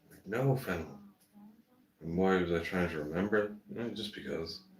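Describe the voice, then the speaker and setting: In a room with audible echo, a man with a very deep, low pitch talks at a moderate pace in a relaxed tone with ordinary pitch variation. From Ireland. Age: 60s. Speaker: gardening livestreamer. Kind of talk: casual live stream chat. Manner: relaxed, chatty.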